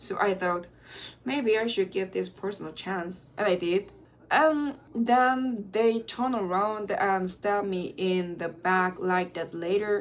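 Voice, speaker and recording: At a fairly slow pace, a woman speaks with a Korean accent. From South Korea. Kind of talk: casual talk to camera.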